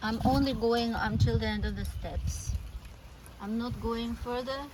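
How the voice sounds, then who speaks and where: A woman with a non-native accent speaks at a fairly slow pace. Room echo and background noise are both noticeable. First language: not English. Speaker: meditation vlogger. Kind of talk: casual vlog with guided meditation. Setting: outdoors.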